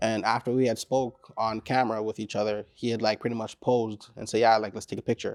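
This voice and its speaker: A man with a Caribbean accent at a medium pitch, very fast pace and hardly any pauses, monotone and flat in intonation, the sound dry and close with no echo, in a very clean recording with a silent background. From Caribbean descent. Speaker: rapper. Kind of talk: interview. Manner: casual, laid-back.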